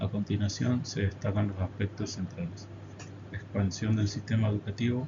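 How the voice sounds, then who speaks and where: This man's fairly low, somewhat breathy voice moves at a moderate pace with fairly even intonation. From Argentina, Corrientes province. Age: 30s. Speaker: teacher. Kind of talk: presentation reading a prepared academic text. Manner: formal.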